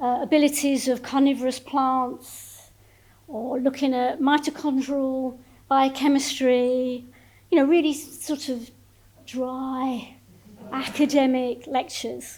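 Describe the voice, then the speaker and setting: Very slowly and in a monotone, flat intonation, a woman speaks at a high pitch. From Essex, Thames estuary (Grays, Thurrock). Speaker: emeritus professor of plant sciences. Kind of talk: public lecture. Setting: lecture hall with live audience. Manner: conversational, informal.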